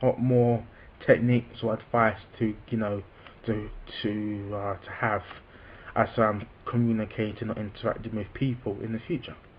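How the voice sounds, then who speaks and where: The man's voice is somewhat breathy. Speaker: vlogger who stammers. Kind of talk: personal vlog talk. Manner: halting, with repetitions; slow, deliberate.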